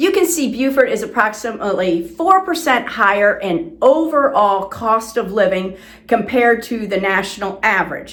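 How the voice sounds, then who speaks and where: This woman, with an American accent, speaks at a moderate pace with hardly any pauses. Her pitch swings very widely. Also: fairly high pitch for a woman. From South Florida. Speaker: real estate agent. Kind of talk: informational presentation to camera.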